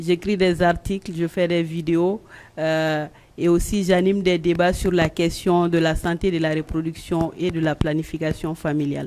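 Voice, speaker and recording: A woman with a fairly low, dark and mellow voice speaks at a fairly slow pace in a flat monotone. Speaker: journalist and blogger. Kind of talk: panel discussion. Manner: loud, carrying voice.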